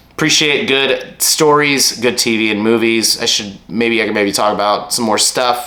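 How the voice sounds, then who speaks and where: There is audible room echo as a man speaks at a moderate pace and medium pitch, using ordinary pitch variation and hardly any pauses. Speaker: vlogger. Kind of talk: casual monologue review. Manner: halting.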